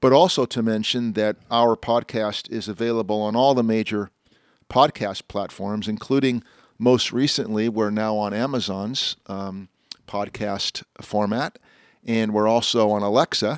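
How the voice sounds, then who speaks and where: An unremarkable speaking voice moves at a fairly slow pace with fairly even intonation, in a dry, close sound with no echo on a very clean recording with a silent background. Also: man, fairly low pitch for a man. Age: 60s. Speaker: automotive columnist and podcast host. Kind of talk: casual chat. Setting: outdoors in a backyard.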